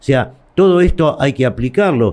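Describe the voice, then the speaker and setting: A man with lively intonation at a fairly slow pace. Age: 60s. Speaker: shopkeeper and trade association leader. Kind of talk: interview. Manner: halting.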